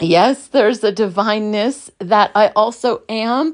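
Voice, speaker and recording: A woman speaks in an American accent at a fairly high pitch with ordinary pitch variation. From Brooklyn, New York. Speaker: podcast host, spiritual teacher. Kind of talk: reflective monologue. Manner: loud.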